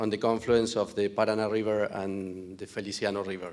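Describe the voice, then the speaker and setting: A speaker with a non-native accent is heard on a very clean recording with a silent background. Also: man. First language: Spanish. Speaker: farm owner. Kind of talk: conference presentation. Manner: halting.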